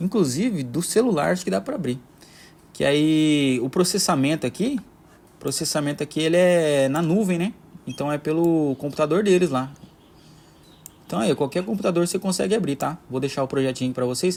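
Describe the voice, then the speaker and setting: Long, frequent pauses break up a man's speech, which has lively intonation. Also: fairly high pitch for a man. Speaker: maker tutorial creator. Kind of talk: tutorial. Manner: fast, sometimes jumbled words; casual, hesitant with filler words.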